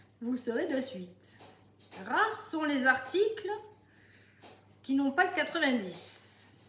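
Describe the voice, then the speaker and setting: A woman speaks very slowly with a southern French accent, her high voice bright and sharp. Her pitch swings very widely, and the room echo is audible. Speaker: home sales consultant. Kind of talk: cooking tutorial live stream. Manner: chatty, lively.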